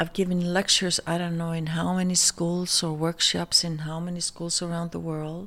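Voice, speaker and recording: With an Icelandic accent, a woman talks at a moderate pace in a fairly low voice, with hardly any pauses and a monotone, flat intonation. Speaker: fashion designer. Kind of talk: casual chat. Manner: halting.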